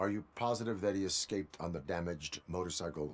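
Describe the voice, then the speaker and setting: A man races along at a very fast pace in a put-on character voice pitched very deep and low. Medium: video game. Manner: flat, formal, measured.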